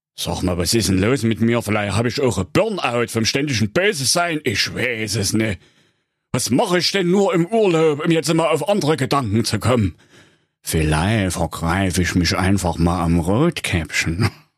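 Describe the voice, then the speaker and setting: In a put-on character voice, a man talks at a moderate pace and medium pitch, on a very clean recording with a silent background. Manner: whiny, self-pitying.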